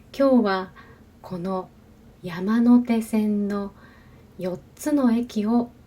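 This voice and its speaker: A woman speaks at a very slow pace with a dark, mellow, somewhat breathy tone at medium pitch, ordinary pitch variation, big swings in loudness, and long, frequent pauses. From Japan. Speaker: Japanese language teacher. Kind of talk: language-learning narration. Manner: slow, careful.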